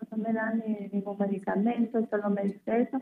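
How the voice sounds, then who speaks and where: In a normal speaking voice, a woman talks at a moderate pace with a fairly high pitch. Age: 20s. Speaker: radio caller. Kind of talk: phone consultation. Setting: phone call.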